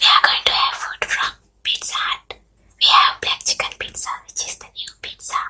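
The speaker is whispering. The pace is moderate. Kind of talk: whispered ASMR mukbang intro to camera. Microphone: studio mic.

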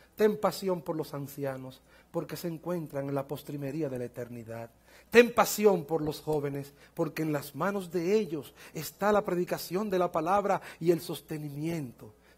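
A man talks at a moderate pace and fairly high pitch with ordinary pitch variation. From Dominican Republic. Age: 50s. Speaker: pastor. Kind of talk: sermon. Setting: church conference with audience. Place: church. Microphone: headset.

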